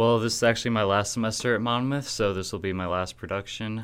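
This man's pitch is fairly low. It varies in an ordinary way. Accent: Midwestern American. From US Midwest, Kewanee, Illinois. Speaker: college student and actor. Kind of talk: radio interview.

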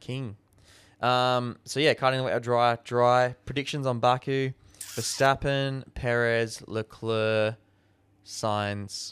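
A man with an Australian accent talks at a very slow pace. His medium-pitched voice stays monotone, with flat intonation. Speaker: podcast co-host. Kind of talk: casual chat.

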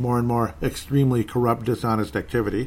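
With an American accent, a man speaks in an unremarkable speaking voice. His pitch is medium and his pace moderate. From Minnesota, US. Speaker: political podcast host. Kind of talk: casual monologue.

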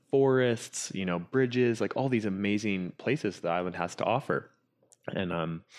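In a Canadian accent, a man with a fairly low pitch and an unremarkable speaking voice talks at a moderate pace. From Canada, Whistler BC. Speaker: drone pilot and cinematographer. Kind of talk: interview.

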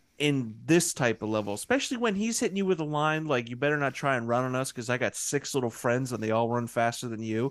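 In a very clean recording with a silent background, a man of medium pitch speaks at a very fast pace, with ordinary pitch variation and hardly any pauses. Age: 30s. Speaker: podcast co-host, guest. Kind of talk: casual chat.

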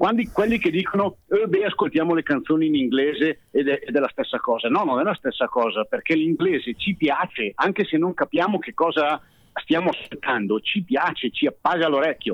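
Lively intonation carries a man's high-pitched voice at a fairly quick pace. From Bergamo, northern Italy. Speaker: singer and comedian. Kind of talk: casual chat. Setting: phone call.

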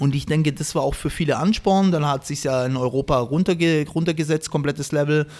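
A plain, everyday voice from a man, fairly high in pitch, at a fairly quick pace with hardly any pauses. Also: fairly even intonation. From Baden-Württemberg, Stuttgart area. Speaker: breakdancer and event host. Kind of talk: casual chat.

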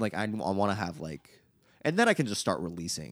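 His pitch swings very widely over a very deep, low register, with vocal fry, as this man talks at a moderate pace. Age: 20s. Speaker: musician. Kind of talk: casual chat.

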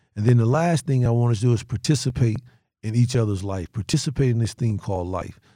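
A very fast man with a Southern US accent, dark, mellow and somewhat breathy, with ordinary pitch variation, on a very clean recording with a silent background. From North Carolina. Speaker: sheriff and former federal agent. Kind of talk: casual chat.

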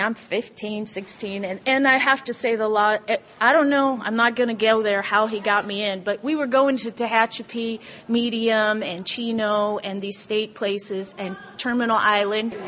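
Using an ordinary speaking voice, a woman speaks at a moderate pace in a fairly high pitch with ordinary pitch variation. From Southern California. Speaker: recovering alcoholic speaker. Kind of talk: testimony.

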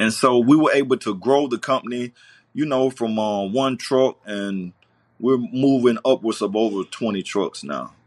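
This man has a Southern US accent and a medium pitch, with ordinary pitch variation. He talks at a fairly slow pace, and the sound is dry and close with no echo. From US South, Greenville, South Carolina. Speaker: trucking company owner. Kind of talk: interview. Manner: halting, many fillers.

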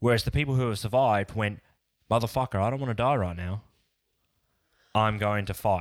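A man in an Australian accent at a fairly quick pace with long, frequent pauses, in a very clean recording with a silent background. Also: fairly low pitch for a man, ordinary pitch variation. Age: 30s. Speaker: podcast co-host. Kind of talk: casual chat.

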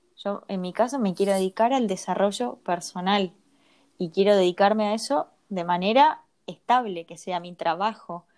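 Big swings in loudness in a Rioplatense accent. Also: woman, medium pitch for a woman, ordinary pitch variation, moderate pace. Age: 30s. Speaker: podcast co-host, personal development coach. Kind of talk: casual chat.

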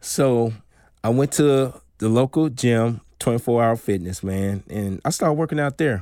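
With an American accent and lively intonation, a man speaks at a moderate pace and medium pitch in a dark, mellow tone, recorded very cleanly against a silent background. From US South, Mississippi. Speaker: podcast host, fitness. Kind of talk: casual monologue, personal story. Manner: animated, laughing.

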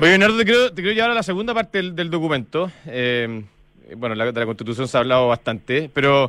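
A man's fairly high, bright, sharp voice with a Chilean accent, very wide pitch swings, a fairly quick pace and hardly any pauses. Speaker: radio host. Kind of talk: radio interview. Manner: halting.

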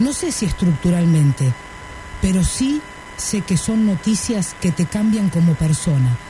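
Through noticeable background noise, a woman speaks at a fairly slow pace with very even loudness, a fairly low pitch and very wide pitch swings. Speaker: radio host. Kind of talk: radio talk show.

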